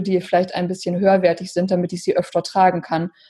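Somewhat breathy and flat in a monotone, a woman speaks at a medium pitch. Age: 30s. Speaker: entrepreneur and life coach. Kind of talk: interview.

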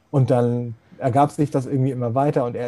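Medium-pitched and dark, mellow in tone, a man's voice comes through. He talks at a moderate pace with monotone, flat intonation. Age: 40s. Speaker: accessibility expert, blind since birth. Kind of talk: interview.

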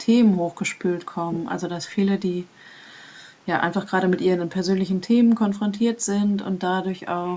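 A woman speaks at a medium pitch. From Germany, Münsterland. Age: 40s. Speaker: process facilitator and vision quest guide. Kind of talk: casual interview.

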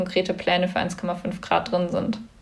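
A woman's voice amid noticeable background noise. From Germany, Cologne. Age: young. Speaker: climate activist. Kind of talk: interview.

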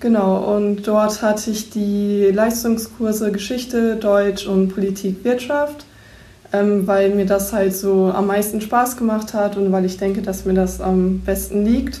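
A woman speaks at a very slow pace in a medium pitch, her intonation monotone and flat, her loudness very even, with audible room echo around her. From East Frisia, northern Germany. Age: 18. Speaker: bank trainee. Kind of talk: self-introduction and interview.

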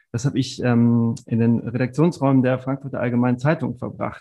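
With music in the background, a man talks at a moderate pace in a monotone, flat intonation. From Germany, Stuttgart. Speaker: sports marketing executive. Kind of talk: interview.

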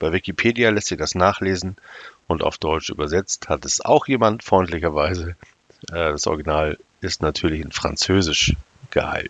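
Very deep and low, this man's voice has ordinary pitch variation. He speaks at a moderate pace. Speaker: podcaster. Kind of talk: reading aloud; solo podcast monologue.

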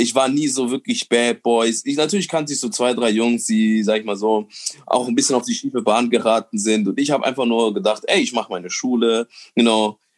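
A man with a plain, everyday voice speaks at a medium pitch and a fairly quick pace. His pitch varies in an ordinary way, and the sound is dry and close with no echo. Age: 20s. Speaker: comedian and nurse. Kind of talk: casual chat.

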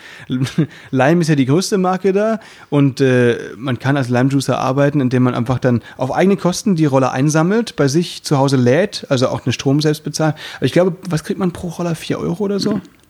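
With a plain, everyday voice, a man talks at a fairly quick pace, his pitch fairly high and his intonation lively. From Baden, southern Germany. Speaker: variety artist and podcast host. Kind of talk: casual chat.

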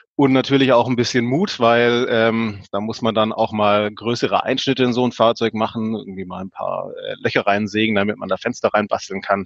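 A man with a medium-pitched, ordinary speaking voice talks at a moderate pace, barely pausing, his intonation fairly even. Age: 30s. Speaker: engineer and hobby van builder. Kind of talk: interview.

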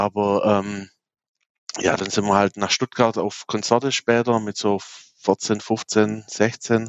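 Speaking very slowly with long, frequent pauses, a man uses a fairly low pitch and a flat, monotone intonation. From Swabia, Baden-Württemberg (near Aalen). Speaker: music festival organizer. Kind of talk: interview.

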